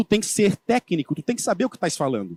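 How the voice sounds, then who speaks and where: Heard in a dry, close sound with no echo, a man with a coastal Santa Catarina accent speaks in a high pitch. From Santa Catarina coast, southern Brazil. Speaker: agribusiness solar sales speaker. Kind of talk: conference talk. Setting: stage at industry event. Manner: casual, conversational.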